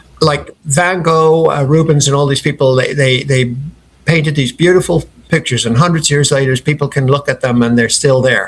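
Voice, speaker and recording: With a slight Irish accent, a man talks at a fairly quick pace in a fairly high pitch, somewhat breathy, with fairly even intonation and very even loudness. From Ireland (Dublin, family from Clare). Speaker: company founder. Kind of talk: interview.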